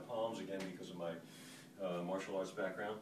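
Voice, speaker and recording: A man speaks amid noticeable background noise. The room echo is audible. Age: 60s. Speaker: fitness instructor. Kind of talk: tutorial. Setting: hotel room. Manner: hesitant, many fillers.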